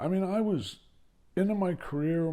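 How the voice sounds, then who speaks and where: A man speaks at a very slow pace in a dark, mellow tone. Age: 70s. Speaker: podcast host on elder care. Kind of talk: solo podcast monologue. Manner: conversational.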